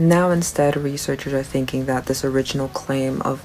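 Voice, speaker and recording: Music plays in the background. A soft-spoken woman talks with a very deep, low pitch. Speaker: science video creator. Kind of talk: science explainer talk to camera.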